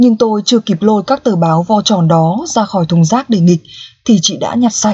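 The voice has a dark, mellow, somewhat breathy tone, a playful, warm tone and lively intonation, moving at a fairly quick pace with very even loudness in a dry, close sound with no echo. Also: woman, medium pitch for a woman. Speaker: audiobook narrator. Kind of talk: audiobook reading of a novel, narrated in first person as a dog. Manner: storytelling, playful and humorous, with a warm, expressive tone.

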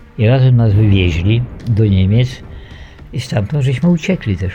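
Music plays behind a man's voice. He speaks at a fairly slow pace with ordinary pitch variation. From Poland, Eastern Borderlands. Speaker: war veteran. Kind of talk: testimony.

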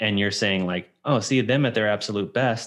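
Against a quiet background, a man speaks fairly quickly in a normal speaking voice, his medium pitch showing ordinary variation. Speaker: podcast host. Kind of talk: casual chat.

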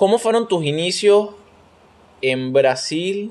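High male speech swinging very widely in pitch. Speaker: podcast host. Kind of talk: casual chat.

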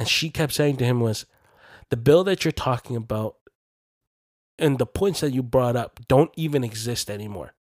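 With a dry, close sound and no echo, a man talks in a normal speaking voice at medium pitch and a moderate pace, with ordinary pitch variation. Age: 20s. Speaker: podcast host. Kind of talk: casual chat.

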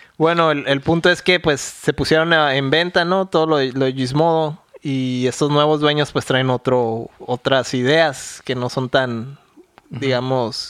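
Fairly high in pitch, a man talks at a very slow pace with fairly even intonation. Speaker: podcast co-host. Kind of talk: casual chat.

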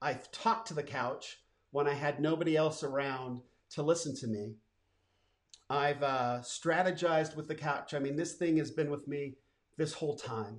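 A man has a normal speaking voice, fairly high in pitch with ordinary pitch variation, and he talks at a moderate pace. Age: 50s. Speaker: entrepreneur and podcast host. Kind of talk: personal storytelling monologue. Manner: casual, with frequent fillers.

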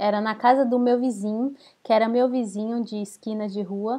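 This woman has a dark, mellow tone, a fairly high pitch, and fairly even intonation. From Brazil. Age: 30s. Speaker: podcast co-host. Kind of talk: casual chat.

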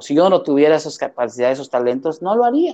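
Here is a man with a Mexican accent and a dark, mellow tone. His pitch is fairly high and his intonation lively. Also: quiet background. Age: 40s. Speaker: theatre actor and director. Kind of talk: casual interview chat.

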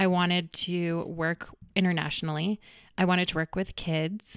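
In a General American accent, a woman with a plain, everyday voice and fairly low pitch speaks at a moderate pace in a very clean recording with a silent background. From Colorado, Greenwood Village. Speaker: fitness studio owner. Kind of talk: interview conversation. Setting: studio.

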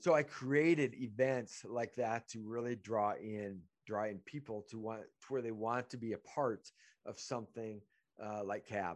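Over a quiet background, a man with an ordinary speaking voice talks at a fairly slow pace, his medium pitch showing ordinary pitch variation and his loudness swinging widely. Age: 50s. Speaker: podcast host and business networking group organizer. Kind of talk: casual chat. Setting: video call.

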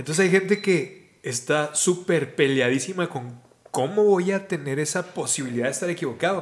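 This man speaks at a high pitch and a moderate pace. His pitch varies in an ordinary way. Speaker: podcast host. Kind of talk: casual conversation. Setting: outdoors in a park.

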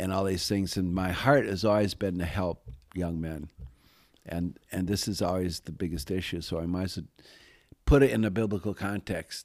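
A man with a very deep, low pitch and an American accent, at a moderate pace with ordinary pitch variation. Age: old. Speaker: author and youth mentor. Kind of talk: interview storytelling.

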